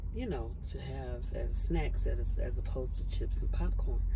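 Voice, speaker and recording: Noticeable background noise accompanies the speaker. A woman talks at a fairly slow pace. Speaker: truck driver. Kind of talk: casual talk to camera. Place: car. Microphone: phone near.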